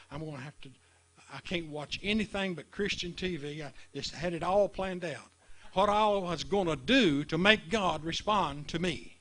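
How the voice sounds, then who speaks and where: With a high pitch, ordinary pitch variation and big swings in loudness, a man speaks at a moderate pace. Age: 70s. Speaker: preacher. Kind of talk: sermon. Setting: live stream.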